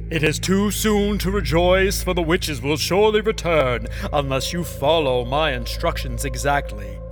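A man's put-on character voice at a moderate pace over loud music in the background. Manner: calm, reassuring.

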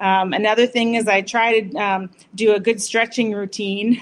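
With an American accent, a woman speaks at a medium pitch in a flat, monotone way. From Massachusetts, US. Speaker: doctor, pelvic health. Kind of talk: short interview.

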